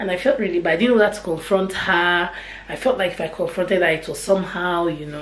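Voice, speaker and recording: Her voice fairly low, a woman speaks at a moderate pace amid audible room echo and light background noise. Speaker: mom vlogger. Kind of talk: casual vlog chat. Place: kitchen. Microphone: phone near.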